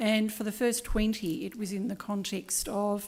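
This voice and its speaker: A woman speaking at a moderate pace. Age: 60s. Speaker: former senior executive. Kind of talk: conference panel talk. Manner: conversational.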